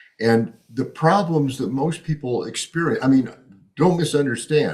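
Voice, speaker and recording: This man has a fairly high pitch and a somewhat breathy sound, with an American accent. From US Midwest, Chicago. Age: 70s. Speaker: economist and author. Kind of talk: podcast interview.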